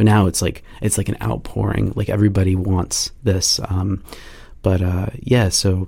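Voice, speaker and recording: This man has a very deep, low pitch and a somewhat breathy sound. He talks at a fairly slow pace with fairly even intonation. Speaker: penetration testing manager. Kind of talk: podcast interview. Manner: halting, many fillers and restarts.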